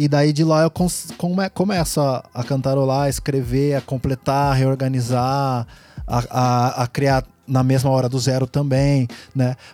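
With music in the background, a man speaks at a fairly slow pace and medium pitch. His intonation is fairly even and his loudness very even. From Brazil, Piracicaba (São Paulo state interior). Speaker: rapper. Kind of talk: casual chat. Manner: halting.

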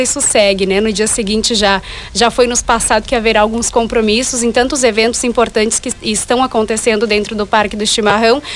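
Speech runs at a fairly quick pace with hardly any pauses against noticeable background noise. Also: woman. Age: 20s. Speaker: pageant candidate and journalist. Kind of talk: radio interview. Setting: radio studio.

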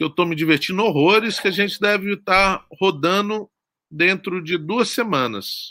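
Raised and projected, a man's high-pitched voice with a bright, sharp tone moves at a fairly slow pace over a very clean, silent background. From Brazil, Espírito Santo (Guarapari). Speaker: horror film director. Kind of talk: interview.

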